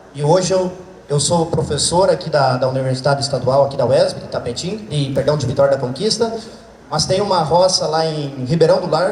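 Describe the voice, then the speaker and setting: A man with a Santa Catarina accent speaks at a fairly high pitch with lively intonation, with noticeable background noise and audible room echo. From southern Brazil, Santa Catarina. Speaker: veterinarian and agronomy professor. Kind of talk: lecture. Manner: fast.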